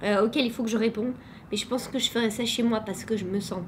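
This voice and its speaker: Very fast speech with ordinary pitch variation is heard with audible room echo. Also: woman. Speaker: teacher and vlogger. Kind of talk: vlog. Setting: classroom.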